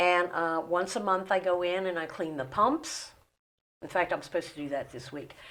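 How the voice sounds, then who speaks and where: A woman with an American accent, fairly low in pitch, with ordinary pitch variation, a moderate pace and an unremarkable speaking voice. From West Virginia / Maryland / New Jersey. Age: 60s. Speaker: interview guest. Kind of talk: casual interview. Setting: studio.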